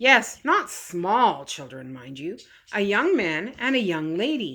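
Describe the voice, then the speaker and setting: Putting on a raspy character voice, a woman speaks at a fairly slow pace and medium pitch with very wide pitch swings, in a very clean recording with a silent background. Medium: read story. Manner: deferential, slightly nervous.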